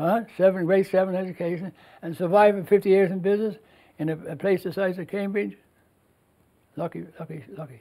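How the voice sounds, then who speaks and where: With a Newfoundland accent, the speaker talks at a fairly quick pace in a dark, mellow tone, with fairly even intonation and long, frequent pauses. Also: man, high pitch for a man. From Newfoundland, Canada (Bell Island). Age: 80s+. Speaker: store owner. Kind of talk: interview.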